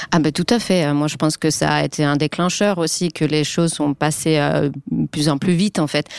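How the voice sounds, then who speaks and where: In a dry, close recording with no echo, a woman with a very deep, low pitch talks at a moderate pace, her loudness very even and hardly any pauses. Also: ordinary pitch variation. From Finland. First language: Finnish (speaking French). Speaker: journalist and author. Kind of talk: panel discussion.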